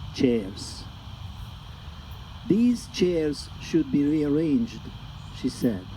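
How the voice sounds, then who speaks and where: A man at medium pitch with a Hungarian accent, very slow pace and lively intonation. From Hungary. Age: 60s. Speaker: poet. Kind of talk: poetry reading. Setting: live reading with audience.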